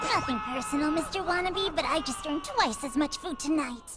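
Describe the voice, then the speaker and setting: A cartoonish character voice with a high pitch runs at a fairly quick pace. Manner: sarcastic, cheeky.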